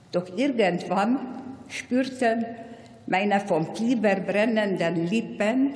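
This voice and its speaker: A woman talks very slowly with lively intonation at a medium pitch. Audible room echo and noticeable background noise surround her voice. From Hungary. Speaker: Holocaust survivor. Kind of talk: commemorative speech. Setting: parliament plenary hall.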